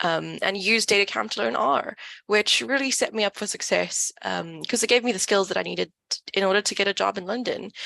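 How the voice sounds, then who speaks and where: Speech comes at a fairly quick pace in a South African accent, with hardly any pauses. The sound is dry and close, with no echo. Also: woman. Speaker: data company community manager. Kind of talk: online event talk.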